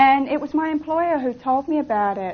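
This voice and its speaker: Over noticeable background noise, a woman with an English accent speaks with lively intonation. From England. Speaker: seminar instructor. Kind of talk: seminar teaching.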